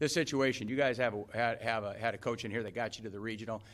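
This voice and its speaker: A man speaks with a medium pitch. His pitch varies in an ordinary way. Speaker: college basketball head coach. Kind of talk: press conference speech. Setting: press conference room with audience. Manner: fast.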